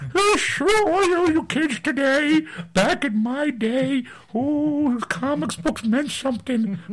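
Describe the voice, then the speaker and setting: A high, put-on character voice speaks very slowly. Light background noise sits behind it. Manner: grumbling, nostalgic complaining.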